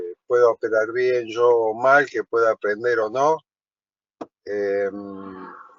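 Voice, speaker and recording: A man with a medium pitch speaks at a very slow pace, his intonation fairly even. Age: 60s. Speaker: truck driver, course student. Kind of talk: self-introduction in online class. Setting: video call from parked truck on highway.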